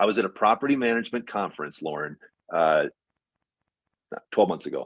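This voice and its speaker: Vocal fry runs through a man's medium-pitched voice as he speaks at a very fast pace with very wide pitch swings, the sound dry and close with no echo. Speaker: property management expert, webinar speaker. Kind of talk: webinar presentation and Q&A. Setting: online webinar. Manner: animated.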